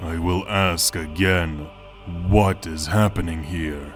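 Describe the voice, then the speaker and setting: Put-on character voice at a fairly slow pace, with clear music in the background. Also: man. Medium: read story. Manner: cold, curt.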